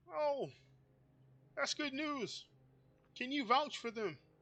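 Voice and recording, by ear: This is a put-on character voice that sounds female and is pitched high. It moves at a fairly slow pace.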